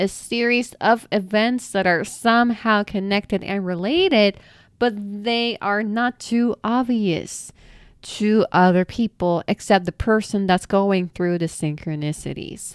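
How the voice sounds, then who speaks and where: A woman's medium-pitched voice with a non-native accent and ordinary pitch variation, dry and close with no echo, on a very clean recording with a silent background. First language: not English. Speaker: spiritual content creator. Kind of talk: answering viewer questions. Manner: animated.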